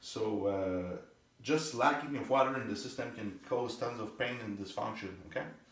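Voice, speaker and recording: Against noticeable background noise and audible room echo, a man with a French accent talks at a moderate pace with ordinary pitch variation. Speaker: therapist demonstrating muscle testing. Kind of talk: demonstration with patient.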